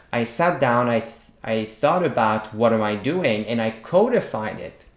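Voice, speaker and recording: A man speaks with a Quebec accent and lively intonation. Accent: Québécois French-accented English. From Quebec, small town. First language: French. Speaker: writing teacher. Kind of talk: tutorial.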